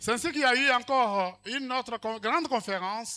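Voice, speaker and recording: Speaking at a moderate pace in a raised, projected voice, a man sounds bright and sharp, with ordinary pitch variation on a very clean recording with a silent background. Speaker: speaker at network ceremony. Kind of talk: formal speech with interpretation.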